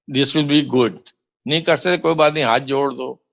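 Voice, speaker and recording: A man with a fairly high pitch speaks with vocal fry and fairly even intonation. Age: 70s. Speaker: devotee sharing testimony. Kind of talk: testimony.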